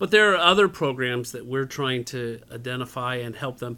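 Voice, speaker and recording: The man's pitch sits at a medium level. His tone is bright and sharp. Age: 50s. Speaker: community center director. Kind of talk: interview.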